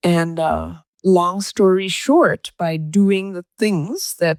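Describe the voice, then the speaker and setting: A woman speaks at a fairly low pitch with ordinary pitch variation in an unremarkable speaking voice. The sound is dry and close with no echo. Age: 60s. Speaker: posture coach. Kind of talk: interview.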